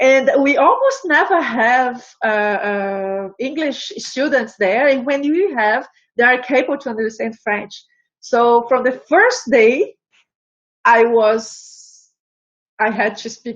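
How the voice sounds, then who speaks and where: A woman with a Portuguese accent speaks at a very slow pace. Her high-pitched voice shows ordinary pitch variation. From Brazil. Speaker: embroidery artist and knitting teacher. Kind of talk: interview. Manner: halting.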